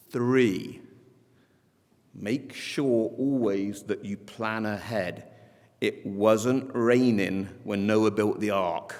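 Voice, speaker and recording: A man with an English accent speaks at a fairly low pitch. His pace is very slow and his intonation fairly even. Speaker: school head. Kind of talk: commencement speech. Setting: graduation ceremony with audience. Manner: formal.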